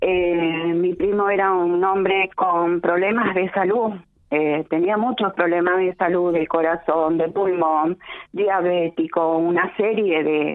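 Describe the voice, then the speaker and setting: A woman's fairly low voice at a very slow pace, with fairly even intonation. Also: very even loudness. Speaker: radio caller. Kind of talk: phone-in complaint. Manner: halting.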